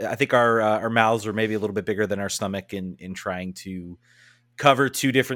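A man at fairly low pitch, fairly quick in pace, with fairly even intonation. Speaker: podcast host. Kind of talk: casual chat about soccer. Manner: low energy, subdued.

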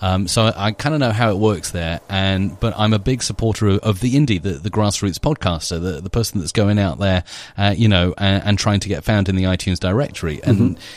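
A man with a fairly low pitch, at a very fast pace with hardly any pauses. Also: ordinary pitch variation. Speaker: audio branding producer. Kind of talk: interview, casual chat.

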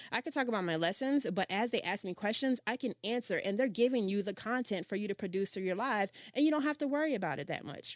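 A woman's fairly high voice, very fast and full of lively intonation, in a dry, close sound with no echo over a quiet background. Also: hardly any pauses. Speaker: podcast guest speaker giving social media tips. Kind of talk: casual, conversational. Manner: fast talker; expressive, energetic.

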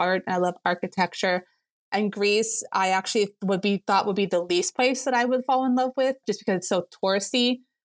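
Against a quiet background, a speaker with an American accent talks at a moderate pace with ordinary pitch variation. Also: woman, dry, close sound with no echo. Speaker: destination wedding photographer. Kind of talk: interview. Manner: animated.

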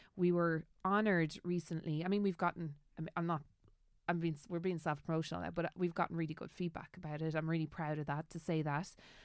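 In a rural Irish accent, a woman speaks at a very fast pace with a fairly low pitch and monotone, flat intonation. The recording is very clean, with a silent background. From Ireland, rural Tipperary. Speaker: podcast host. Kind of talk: casual chat.

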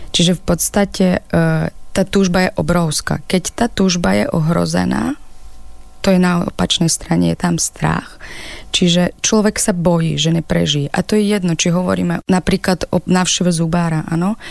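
Very even in loudness, a woman's speech moves at a moderate pace. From Ukraine. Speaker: psychologist and author. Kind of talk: radio interview. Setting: radio studio.

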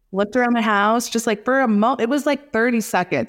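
A woman with an American accent talks at a fairly quick pace, her fairly high voice showing vocal fry. The recording is very clean and dry, close-miked with no echo and a silent background. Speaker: fashion entrepreneur and stylist. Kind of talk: casual interview chat.

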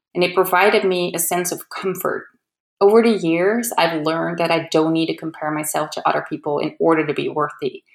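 With a Dutch accent, a woman speaks fairly quickly at a fairly low pitch with fairly even intonation. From Netherlands, Amsterdam. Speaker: editor. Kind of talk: prepared talk.

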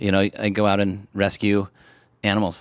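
This man has a West Coast accent and a fairly low pitch. He talks at a moderate pace. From Washington State. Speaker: zoo operations executive. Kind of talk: interview. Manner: halting.

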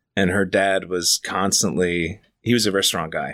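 With an American accent, a man speaks in a very deep, low pitch with a bright, sharp tone and vocal fry. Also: very clean recording, silent background. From New York City, Manhattan Upper East Side. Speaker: executive chef. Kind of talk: casual interview.

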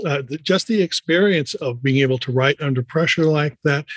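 Recorded dry and close with no echo, a man speaks at a moderate pace in a fairly high, somewhat breathy voice. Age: 70s. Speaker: playwright and speaker. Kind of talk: interview.

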